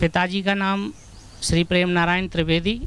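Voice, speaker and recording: The man speaks in a high pitch with ordinary pitch variation. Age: 60s. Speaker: yoga follower sharing health testimony. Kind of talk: testimony. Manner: halting.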